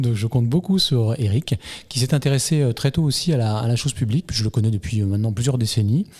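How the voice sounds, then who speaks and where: Somewhat breathy and dark, mellow in tone, a man's voice moves at a fairly quick pace. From Saint-Leu-la-Forêt, France. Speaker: local politician, former mayor. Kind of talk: interview.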